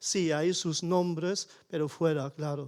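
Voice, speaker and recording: Over a silent background in a very clean recording, a man speaks at a fairly slow pace with fairly even intonation. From Germany (small village). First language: German (speaking Spanish). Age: 60s. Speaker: audience member. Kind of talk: panel discussion. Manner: halting.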